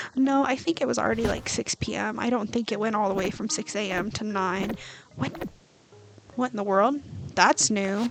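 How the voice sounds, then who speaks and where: A woman's fairly high voice with lively intonation, moderate pace and long, frequent pauses, against noticeable background noise. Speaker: gaming streamer. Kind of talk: casual gameplay commentary. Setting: home, streaming at night. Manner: soft-spoken.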